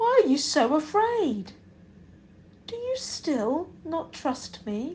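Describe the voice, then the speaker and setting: A woman's put-on character voice, high-pitched and very slow, with very wide pitch swings and long, frequent pauses. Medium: read story. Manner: calm, authoritative.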